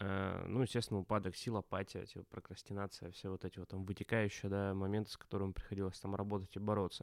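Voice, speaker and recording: Very fast, with hardly any pauses, a man speaks in a fairly low, monotone, flat voice, the sound dry and close with no echo in a very clean recording with a silent background. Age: 30s. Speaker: podcast co-host, brand strategist. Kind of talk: casual chat.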